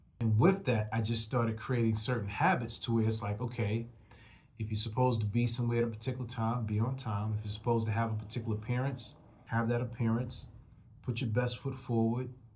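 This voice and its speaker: Over audible room echo, a man speaks very fast, somewhat breathy, at a medium pitch with fairly even intonation. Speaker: rap artist and motivational podcast host. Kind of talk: motivational monologue. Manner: casual, conversational.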